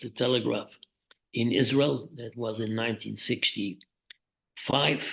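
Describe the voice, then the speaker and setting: Here is a man with a Dutch accent. He speaks at a very slow pace. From Netherlands, Amsterdam. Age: 80s+. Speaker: journalist. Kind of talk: interview.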